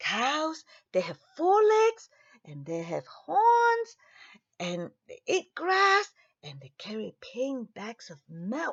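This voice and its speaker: A put-on character voice at a very slow pace. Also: woman, high pitch for a woman. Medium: read story. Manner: proud, storytelling.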